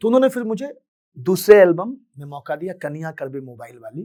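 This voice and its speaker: His intonation is lively and his pitch high as the man speaks. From Bihar, Madhubani district (Mithila). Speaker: singer. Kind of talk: motivational talk, personal story.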